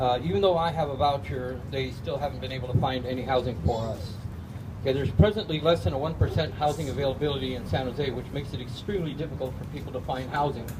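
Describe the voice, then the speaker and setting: Speech comes very fast with lively intonation. There is audible room echo and noticeable background noise. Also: man, medium pitch for a man. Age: 60s. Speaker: unemployed engineer, homeless camp resident. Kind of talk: public testimony. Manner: hesitant, with fillers.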